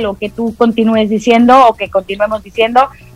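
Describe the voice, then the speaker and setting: The tone is animated. The pace is moderate. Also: woman. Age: 40s. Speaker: radio host and astrologer. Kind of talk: casual chat.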